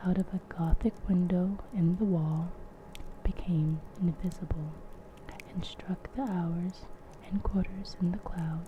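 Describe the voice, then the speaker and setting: Someone soft-spoken talks at a fairly slow pace over noticeable background noise. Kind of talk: ASMR audiobook reading of a classic novel. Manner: soft-spoken, relaxing.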